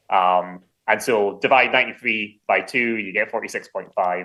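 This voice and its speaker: A man speaks at a fairly quick pace. His pitch sits fairly low. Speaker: distillery manager. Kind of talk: interview.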